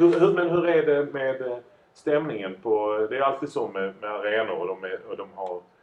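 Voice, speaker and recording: With noticeable background noise behind him, a man at a fairly high pitch talks at a moderate pace with lively intonation and big swings in loudness. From southern Sweden, Lund. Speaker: entertainer and entrepreneur. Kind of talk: casual chat. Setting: studio.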